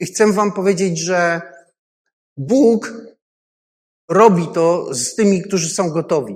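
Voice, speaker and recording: A man's high voice at a very slow pace, with ordinary pitch variation, long, frequent pauses and audible room echo. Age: 50s. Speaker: pastor. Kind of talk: sermon.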